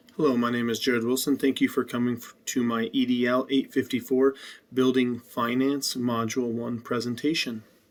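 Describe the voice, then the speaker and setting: A man with an American accent speaks at medium pitch and a moderate pace in a flat monotone, recorded very cleanly against a silent background. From Colorado, US. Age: 20s. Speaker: teacher, graduate student. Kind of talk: class presentation. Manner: hesitant, many ums.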